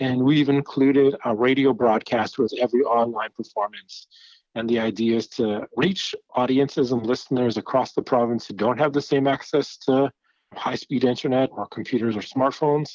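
An ordinary speaking voice from a man, medium in pitch, at a moderate pace with fairly even intonation. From Manitoba, Canada, Anishinaabe. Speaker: music festival director. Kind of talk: interview.

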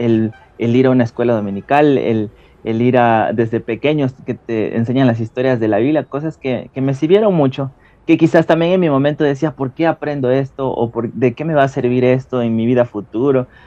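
With a dark, mellow tone, a man talks at medium pitch and a moderate pace with ordinary pitch variation, the sound dry and close with no echo. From Ecuador. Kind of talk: testimony. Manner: hesitant with fillers.

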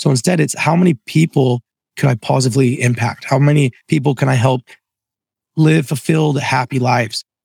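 At a fairly quick pace, a somewhat breathy voice speaks with fairly even intonation and very even loudness, the sound dry and close with no echo. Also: man, medium pitch for a man. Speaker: entrepreneur and franchise founder. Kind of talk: interview conversation.

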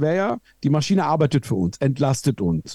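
The dark, mellow tone comes through dry and close with no echo, at a moderate pace over a quiet background. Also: man. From Iran. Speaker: streamer and online commentator. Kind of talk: casual podcast conversation.

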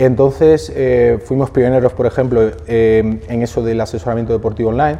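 A man's medium-pitched voice at a moderate pace, with ordinary pitch variation, hardly any pauses and noticeable background noise. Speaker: fitness entrepreneur. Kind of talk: interview.

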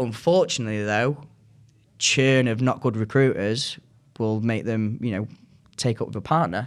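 A northern English accent at a moderate pace, with ordinary pitch variation, long, frequent pauses and a very clean recording against a silent background. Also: man, medium pitch for a man. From Manchester, northern England. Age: 20s. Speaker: recruiter. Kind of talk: casual chat.

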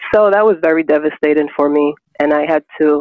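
A woman's very deep, low voice with fairly even intonation at a moderate pace. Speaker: blind interviewee. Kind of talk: interview, personal story. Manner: melodic, peaceful.

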